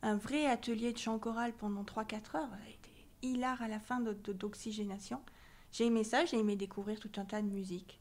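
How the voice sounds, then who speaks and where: A woman speaks at a fairly high pitch and a fairly quick pace with fairly even intonation. Her loudness swings widely. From southern France, near Marseille. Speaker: choir member, association president, scientist. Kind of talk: interview.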